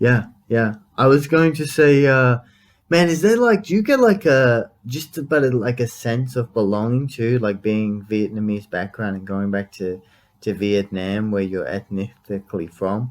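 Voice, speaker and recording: In an Australian accent, a man speaks at medium pitch and a fairly slow pace on a very clean recording with a silent background. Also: lively intonation. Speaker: podcast host. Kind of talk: casual interview chat.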